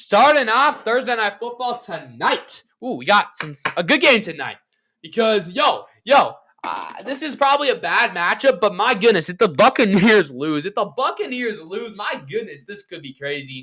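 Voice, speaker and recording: A man's raised, projected, high-pitched voice with a bright, sharp tone, very wide pitch swings, and big swings in loudness. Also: moderate pace. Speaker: sports podcaster. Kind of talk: casual chat. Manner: upbeat, animated.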